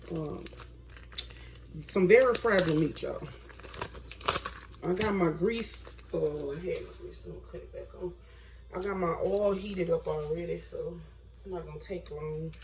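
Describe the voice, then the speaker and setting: Amid noticeable background noise and audible room echo, a woman speaks at a moderate pace with long, frequent pauses and big swings in loudness. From US South, Mississippi. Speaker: home cooking vlogger. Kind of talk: cooking tutorial. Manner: casual, chatty.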